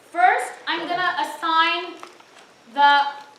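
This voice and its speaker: Over noticeable background noise and audible room echo, a raised, projected voice speaks at a very slow pace in a monotone, flat intonation. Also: woman. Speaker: tutor leading exam review session. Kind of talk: lecture.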